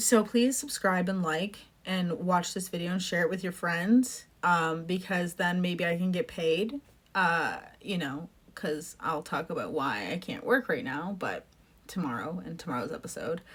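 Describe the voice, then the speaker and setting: Somewhat breathy and fairly slow, a woman speaks with lively intonation. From Canada. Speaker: political podcaster. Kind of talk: casual monologue. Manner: halting, pauses to catch breath.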